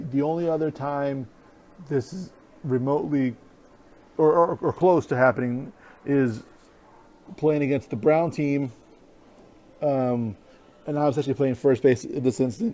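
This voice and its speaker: A man with a dark, mellow tone speaks at a moderate pace, with fairly high pitch and ordinary pitch variation. He leaves long, frequent pauses. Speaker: podcast host and amateur softball player. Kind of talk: casual sports podcast chat. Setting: outdoors at ball field. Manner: halting, stuttering.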